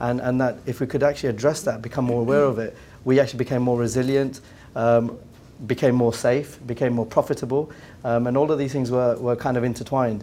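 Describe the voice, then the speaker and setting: Talking at a very fast pace, a man with an English accent uses a medium pitch and a dark, mellow tone in a monotone, flat delivery. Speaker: business executive. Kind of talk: round table discussion. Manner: halting, many repeated words.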